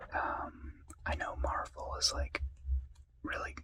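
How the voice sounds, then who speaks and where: Noticeable background noise fills the clip. Beneath it, a man whispers. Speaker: ASMR creator. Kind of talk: ASMR whispered talk to camera. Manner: whispered.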